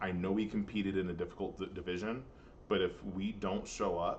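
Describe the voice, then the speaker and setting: A man with an American accent speaks at a fairly quick pace in a very deep, low pitch. There is audible room echo. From Missouri. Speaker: high school band director. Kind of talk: recorded presentation to parents. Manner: fast.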